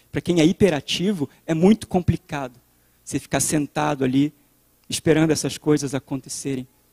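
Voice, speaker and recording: A man with a Rio de Janeiro accent, fairly high in pitch, at a moderate pace, in a dry, close sound with no echo. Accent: Rio de Janeiro chiado. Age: 30s. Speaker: youth preacher. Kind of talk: sermon.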